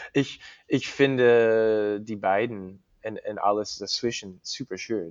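A man speaks at a very slow pace with a fairly low pitch and fairly even intonation. He talks with an English accent. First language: English (speaking German). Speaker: cyclist. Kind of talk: interview. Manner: halting, many fillers.

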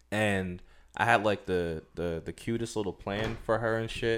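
The recording is very clean, with a silent background. A man with a fairly low pitch speaks at a moderate pace with ordinary pitch variation. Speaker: podcast host. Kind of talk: casual banter. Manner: animated.

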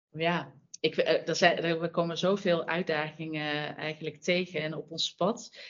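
A woman speaks very slowly with a Brabant accent. Her pitch is fairly low and her intonation monotone and flat. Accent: Brabant soft G. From Brabant, Netherlands. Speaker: sustainability manager at fashion brand. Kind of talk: interview.

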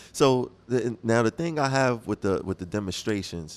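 A man with a normal speaking voice and an American accent talks at a moderate pace, his fairly low pitch carrying lively intonation. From Brooklyn, New York. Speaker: radio host. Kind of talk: casual chat. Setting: studio.

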